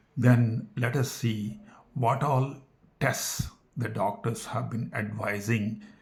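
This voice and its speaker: A man with an Indian accent speaks at a very slow pace. Audible room echo surrounds his voice. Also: medium pitch for a man, fairly even intonation. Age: 60s. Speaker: health talk vlogger, retired engineer. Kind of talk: personal talk to camera. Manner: halting.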